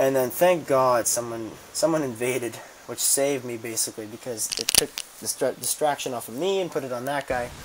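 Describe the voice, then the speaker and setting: Against noticeable background noise, a man at a medium pitch talks fairly quickly with ordinary pitch variation. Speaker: gaming video creator. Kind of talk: gameplay commentary. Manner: fast; halting.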